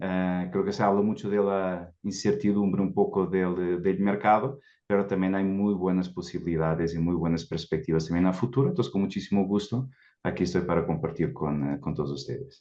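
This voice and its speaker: A man speaks at a moderate pace with a very deep, low pitch and a dark, mellow tone. The background is quiet. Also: ordinary pitch variation. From Portugal. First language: Portuguese (speaking Spanish). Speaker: recruitment executive. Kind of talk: panel discussion.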